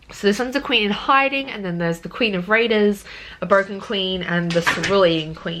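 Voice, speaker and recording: Delivered in an Australian accent, the speech has lively intonation and big swings in loudness, with noticeable background noise behind it. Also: woman. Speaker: book vlogger. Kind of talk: casual vlog. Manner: hesitant, many fillers.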